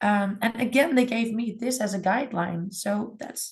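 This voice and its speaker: A woman's somewhat breathy, fairly high voice at a fairly slow pace. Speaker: music school department head. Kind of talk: webinar presentation.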